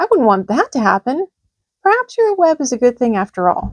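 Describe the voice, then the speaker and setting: A woman performs a put-on character voice at a high pitch and a fairly quick pace, with very wide pitch swings. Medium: read story. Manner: eager, earnest.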